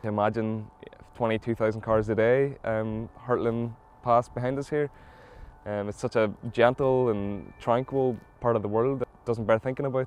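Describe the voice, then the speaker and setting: Speaking with a Mid Ulster accent, a man keeps to a moderate pace. His pitch is medium and his intonation fairly even. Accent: Northern Irish (mid-Ulster). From Northern Ireland, South Derry. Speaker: environmental campaigner. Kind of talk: interview testimony.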